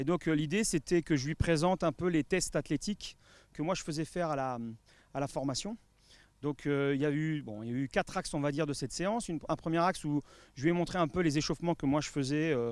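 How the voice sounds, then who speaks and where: A man talks very fast at a fairly high pitch, with ordinary pitch variation. The sound is dry and close with no echo, and the recording is very clean with a silent background. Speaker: football fitness coach. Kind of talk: interview. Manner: hesitant, many fillers.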